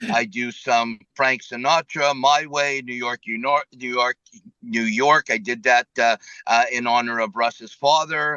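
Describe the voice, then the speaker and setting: A man speaks in an ordinary speaking voice at a medium pitch. His pace is fairly slow. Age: 60s. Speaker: karaoke singer and amputee. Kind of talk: casual interview.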